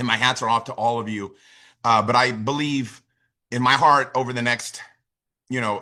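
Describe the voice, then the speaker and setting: A man with an American accent speaks at a medium pitch in a bright, sharp, animated tone, leaving long, frequent pauses. The recording is very clean, with a silent background. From United States. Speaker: network marketing leader. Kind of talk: motivational talk. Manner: fast.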